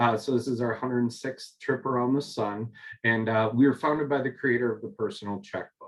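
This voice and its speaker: A man with a Minnesotan accent talks at a fairly quick pace, his medium pitch carried on fairly even intonation. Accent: Minnesota. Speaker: corporate recruiter. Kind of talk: panel talk. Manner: many fillers.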